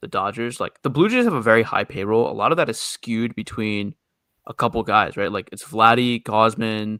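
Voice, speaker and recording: At a fairly quick pace, a man with an American accent speaks in a bright, sharp tone at a medium pitch with ordinary pitch variation, recorded very cleanly over a silent background with a dry, close sound and no echo. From New York City. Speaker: baseball podcast co-host. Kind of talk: casual chat.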